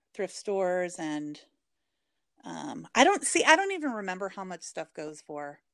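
Speaking at a moderate pace, a woman uses a medium pitch with an American accent. Her voice has very wide pitch swings and big swings in loudness. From US Pacific Northwest, Portland, Oregon. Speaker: reseller. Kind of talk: casual chat.

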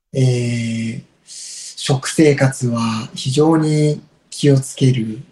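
At a very slow pace, a man speaks with fairly even intonation in a somewhat breathy voice with a dark, mellow tone. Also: medium pitch for a man. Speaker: incense shop owner. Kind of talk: casual interview chat.

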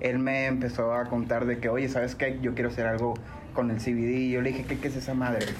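A man talks in a room with audible echo, with noticeable background noise present. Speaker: CBD business owner. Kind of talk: casual interview.

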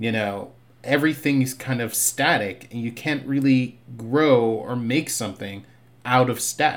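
An ordinary speaking voice, this man's sits at medium pitch with fairly even intonation. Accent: American. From Boston (Roxbury), with Barbados childhood. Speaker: TV writer. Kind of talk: casual interview chat.

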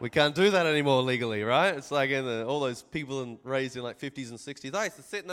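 This man talks very fast in an Australian accent, his pitch fairly high and his tone bright and sharp. The recording is very clean, with a silent background. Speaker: pastor. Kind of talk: sermon.

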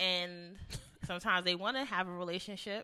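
A woman is speaking. Her tone is bright and sharp. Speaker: radio show co-host. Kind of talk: casual chat.

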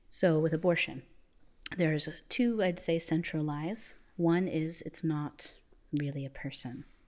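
In a very clean recording with a silent background, a woman with an American accent and a normal speaking voice talks at a fairly slow pace, her fairly low pitch showing ordinary variation. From Florida, US. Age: 20s. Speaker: theology student. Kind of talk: casual chat. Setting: church building.

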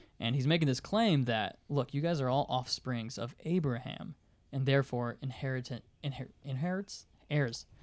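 At a moderate pace, a man talks in an ordinary speaking voice, his pitch varying in an ordinary way. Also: medium pitch for a man. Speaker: podcast co-host. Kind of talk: casual discussion of scripture.

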